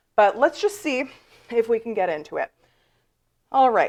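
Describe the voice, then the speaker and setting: A woman puts on a character voice with a high pitch and very wide pitch swings. Her delivery sounds strained and keeps a moderate pace. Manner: strained, hard to talk.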